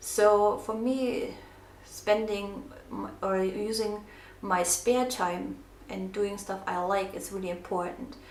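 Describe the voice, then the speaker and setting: Speaking with a non-native accent, a woman at a medium pitch talks at a very slow pace with fairly even intonation, and audible room echo surrounds her. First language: not English. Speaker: craft vlogger. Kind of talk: casual craft tutorial with personal talk. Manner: hesitant, many fillers.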